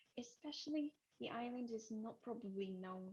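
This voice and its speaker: Speaking at a fairly quick pace, a woman with a Japanese accent has a fairly high pitch and lively intonation. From Japan, Tokyo. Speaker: travel presenter. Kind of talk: webinar presentation. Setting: video webinar from a small office. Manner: hesitant, many fillers; soft-spoken. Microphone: too quiet, then changed microphone.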